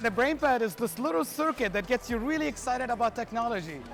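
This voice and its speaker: Very fast speech over background music. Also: man. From Syria. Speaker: technology educator. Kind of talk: documentary interview.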